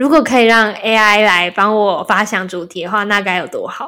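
Here a woman speaks in an unremarkable speaking voice at a fairly high pitch. She keeps a moderate pace and ordinary pitch variation. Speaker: podcast host. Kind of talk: casual chat.

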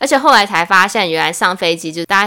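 Speaking at a fairly quick pace, a woman has an unremarkable speaking voice at medium pitch. The recording is very clean, with a silent background. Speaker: former flight attendant. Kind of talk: casual chat.

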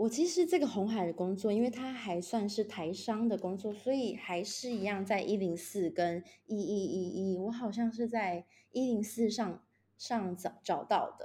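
In a very clean recording with a silent background, a woman with a dark, mellow, somewhat breathy tone speaks at a moderate pace, her medium pitch moving with ordinary variation. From Taiwan. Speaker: project manager working abroad. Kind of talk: casual interview chat. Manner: halting with repetitions.

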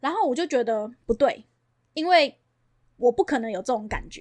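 A woman's high, lively voice at a moderate pace, in a very clean recording with a silent background and a dry, close sound free of echo. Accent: Taiwanese. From Taiwan, Banqiao (New Taipei). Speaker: real estate agent. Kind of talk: casual interview chat.

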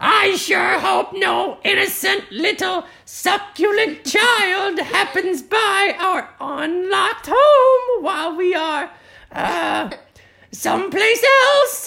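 The speaker puts on a character voice at an extremely high pitch. The pace is very slow. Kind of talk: storytelling. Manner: sinister, sugary.

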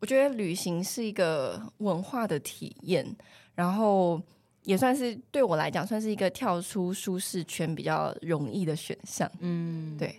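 In a very clean recording with a silent background, a woman with a plain, everyday voice talks fairly slowly at a medium pitch, her intonation lively. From mainland China, Fujian. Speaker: human resources professional. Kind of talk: casual interview chat.

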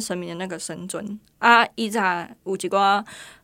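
In a Taiwanese accent, the speaker's intonation stays fairly even on a very clean recording with a silent background. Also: woman. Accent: Taiwanese Mandarin with Taiwanese Hokkien. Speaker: producer of a Taiwanese culture VTuber project. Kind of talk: casual interview chat.

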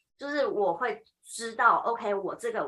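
Speaking at a fairly slow pace, a woman talks with a Taiwanese accent. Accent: Taiwanese Mandarin. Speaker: high school Chinese teacher. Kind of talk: casual chat.

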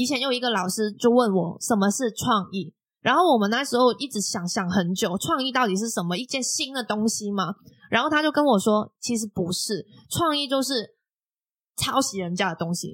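The voice moves at a moderate pace. Its intonation is lively. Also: woman, fairly high pitch for a woman. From Macau. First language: Cantonese (speaking Chinese). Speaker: podcast host. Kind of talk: casual interview chat.

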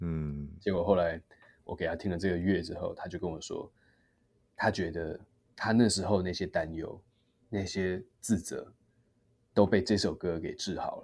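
A man with a very deep, low voice speaks at a moderate pace with fairly even intonation and long, frequent pauses, on a very clean recording with a silent background. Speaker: singer. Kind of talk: interview.

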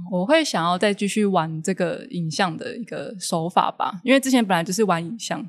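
The speech moves at a moderate pace with lively intonation. There are hardly any pauses. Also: woman, medium pitch for a woman. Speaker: ceramic artist. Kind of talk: casual interview. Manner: gentle, calm.

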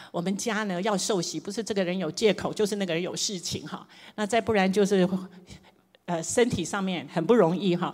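Fairly quick, fairly even speech from a woman at a medium pitch. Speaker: preacher. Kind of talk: sermon.

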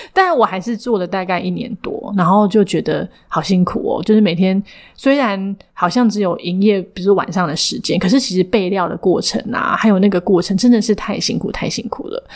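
Against noticeable background noise, a woman at medium pitch speaks at a fairly quick pace with ordinary pitch variation. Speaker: counseling psychologist and clinic director. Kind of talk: interview. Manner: frequent hearty laughter.

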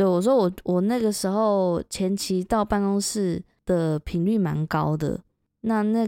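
Fairly slow and with ordinary pitch variation, a woman speaks in a dark, mellow tone. The sound is dry and close with no echo, on a very clean recording with a silent background. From Taiwan. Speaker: podcast host. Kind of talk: casual chat.

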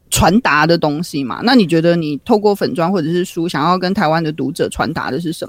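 Someone with a Taiwanese accent speaks at a fairly quick pace with hardly any pauses. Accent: Taiwanese Mandarin. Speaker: podcast co-host. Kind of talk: casual chat.

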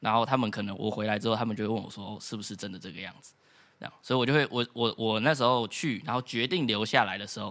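This man has a medium-pitched voice with a bright, sharp tone and a Taiwanese accent, captured in a very clean recording against a silent background. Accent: Taiwanese Mandarin. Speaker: former exchange student. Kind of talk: casual chat.

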